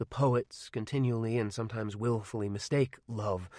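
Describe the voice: Simple, plain reading aloud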